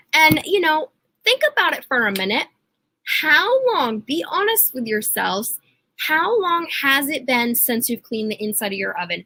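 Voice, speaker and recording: Raising and projecting her voice, a woman speaks at a moderate pace in a high-pitched, bright, sharp and animated tone with very wide pitch swings. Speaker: product consultant hosting live workshop. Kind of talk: live sales presentation. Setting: livestream.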